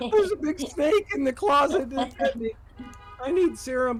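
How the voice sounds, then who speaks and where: Clear background noise under a put-on character voice. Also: moderate pace. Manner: tough guy.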